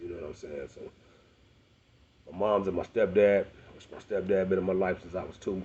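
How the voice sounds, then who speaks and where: A man talks in a monotone, with flat intonation. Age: 40s. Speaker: rapper. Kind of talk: personal monologue to camera. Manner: fast; halting.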